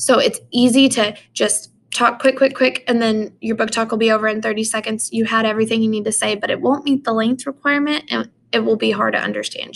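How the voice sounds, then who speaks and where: Hardly pausing at all, a woman talks at a fairly quick pace. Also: very clean recording, silent background. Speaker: English teacher. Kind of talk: recorded lesson. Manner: fast.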